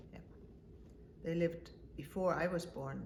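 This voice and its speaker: Audible room echo surrounds a woman as she speaks. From Denmark. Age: 70s. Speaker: mother interviewed by her child. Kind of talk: family interview about life story.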